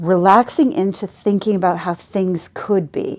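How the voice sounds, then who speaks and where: In a Canadian accent, a woman with medium pitch talks at a fairly slow pace in an ordinary speaking voice. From British Columbia, Canada. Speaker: social worker. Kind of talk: oral history interview answer.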